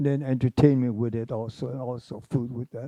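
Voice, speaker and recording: With a Hawaiian accent, a man speaks at a medium pitch in a dark, mellow tone with fairly even intonation, the sound dry and close with no echo. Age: 80s+. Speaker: former mayor. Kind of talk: panel discussion.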